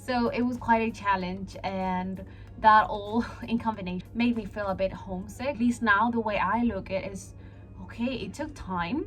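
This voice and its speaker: Music plays behind a woman speaking at a moderate pace. Her voice sits at medium pitch with ordinary pitch variation. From Peru. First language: Spanish. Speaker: vlogger. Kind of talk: casual vlog talking to camera.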